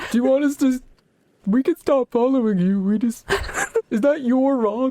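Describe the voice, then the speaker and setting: A put-on character voice at a fairly high pitch and a moderate pace. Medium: actual play. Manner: cheerful, eager.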